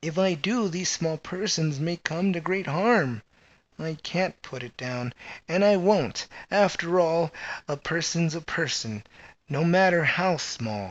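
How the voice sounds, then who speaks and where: Using a put-on character voice, a man speaks high-pitched at a fairly slow pace. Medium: read story. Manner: earnest, kindly.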